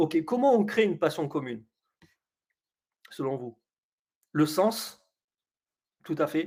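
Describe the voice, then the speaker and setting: A man is talking. His delivery comes at a very slow pace. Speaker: coach running a webinar. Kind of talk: live webinar presentation. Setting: online webinar. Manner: hesitant, many fillers.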